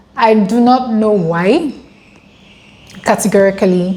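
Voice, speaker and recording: With an African accent, a woman speaks at a fairly slow pace in a fairly high pitch with ordinary variation, over noticeable background noise. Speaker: international student vlogger. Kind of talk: casual vlog.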